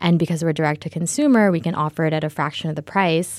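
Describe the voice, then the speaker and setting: An unremarkable speaking voice with a General American accent and ordinary pitch variation is heard in a very clean recording with a silent background. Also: woman. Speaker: startup co-founder. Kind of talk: interview conversation.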